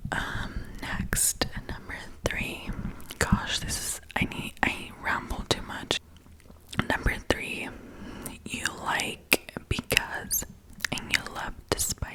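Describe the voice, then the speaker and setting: A woman whispering very slowly, with long, frequent pauses, big swings in loudness and noticeable background noise. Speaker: ASMR creator. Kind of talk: ASMR whispered reading and rambling. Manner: whispered, soft, rambling.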